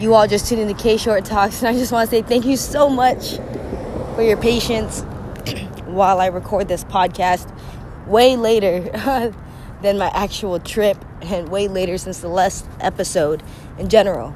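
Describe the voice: A woman's put-on character voice, hoarse and raspy, at medium pitch and moderate pace, with long, frequent pauses and noticeable background noise.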